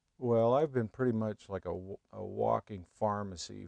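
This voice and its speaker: Recorded in a dry, close sound with no echo, a man speaks. His pace is fairly slow and his intonation fairly even. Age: 60s. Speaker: customer testimonial. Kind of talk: testimony. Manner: halting, many fillers.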